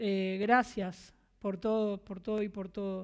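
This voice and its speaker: At a fairly slow pace, a woman speaks in a fairly high pitch with a normal speaking voice. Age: 30s. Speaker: preacher. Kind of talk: sermon.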